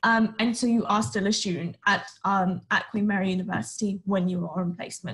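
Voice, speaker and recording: A woman with a London accent talks at a fairly quick pace with ordinary pitch variation. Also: medium pitch for a woman. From Northwest London. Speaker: university student. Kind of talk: presentation.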